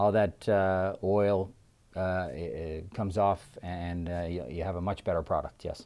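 The dark, mellow tone moves at a moderate pace with ordinary pitch variation in a very clean recording with a silent background. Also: man. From Newfoundland. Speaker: restaurant franchise owner. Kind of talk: casual interview. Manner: halting, many fillers.

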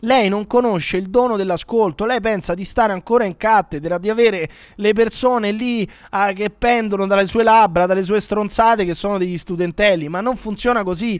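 Pitched high, this man speaks at a moderate pace. His intonation is fairly even. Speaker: podcast host. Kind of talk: casual comedic banter. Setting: remote video call.

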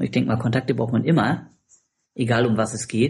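A man speaks at a very fast pace in a medium-pitched, somewhat breathy voice with monotone, flat intonation. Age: 40s. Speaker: competitive swimmer and business consultant. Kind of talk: casual interview.

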